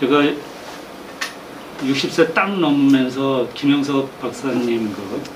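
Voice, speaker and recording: Speaking very slowly, a man uses a fairly high pitch with ordinary pitch variation. There is audible room echo along with noticeable background noise. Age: 60s. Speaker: training graduate. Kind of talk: testimonial remarks at a training session.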